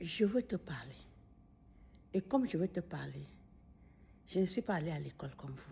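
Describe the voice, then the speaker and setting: Speaking at a moderate pace with long, frequent pauses, a woman uses a fairly low pitch with vocal fry and big swings in loudness. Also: lively intonation. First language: Bamileke (Bafang or Baham) (speaking French). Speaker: video commentator. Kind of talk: monologue addressing a critic. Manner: animated.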